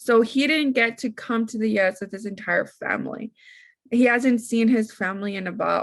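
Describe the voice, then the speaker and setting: A somewhat breathy woman with a Spanish accent and fairly high pitch, at a moderate pace, on a very clean recording with a silent background. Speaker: podcast host and teacher. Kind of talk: casual interview chat. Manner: animated.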